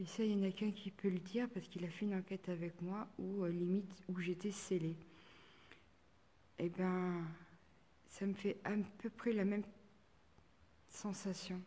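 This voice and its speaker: A woman speaks at a moderate pace and medium pitch, with a dark, mellow, somewhat breathy tone. Her intonation is monotone and flat, broken by long, frequent pauses. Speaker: paranormal investigator. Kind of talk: live stream investigation commentary. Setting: chapel, live stream. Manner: halting.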